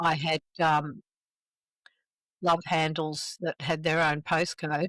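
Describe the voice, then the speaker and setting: Very slow, flat, monotone speech from a woman with an Australian accent, very deep and low in pitch, in a dry, close sound with no echo. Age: 70s. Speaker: recovering alcoholic. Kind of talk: interview.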